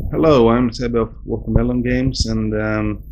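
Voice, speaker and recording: A man speaks at a fairly slow pace. He has a Swedish accent. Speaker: game developer. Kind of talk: interview. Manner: halting.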